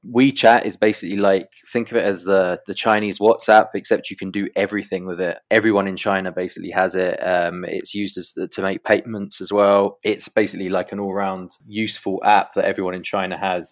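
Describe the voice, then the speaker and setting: On a very clean recording with a silent background, a man with a fairly low pitch talks at a fairly quick pace, hardly pausing, in monotone, flat intonation. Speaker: crypto news journalist. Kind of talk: interview. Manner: hesitant, many fillers.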